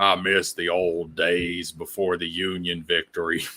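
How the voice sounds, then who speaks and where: A man speaks at a fairly slow pace in a put-on character voice with a Southern accent. His pitch is very deep and low. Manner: nostalgic, grumbling.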